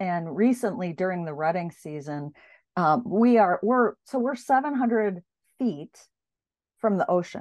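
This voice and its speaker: In a normal speaking voice, a woman talks at a fairly slow pace with lively intonation. The background is quiet. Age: 50s. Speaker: author and executive coach. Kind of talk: interview.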